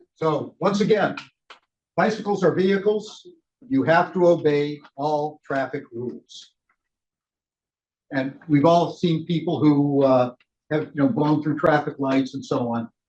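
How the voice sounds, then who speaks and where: Talking fairly slowly, a man uses a fairly high pitch with ordinary pitch variation. Long, frequent pauses break up his speech. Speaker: cycling ride leader trainer. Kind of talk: training session. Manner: loud.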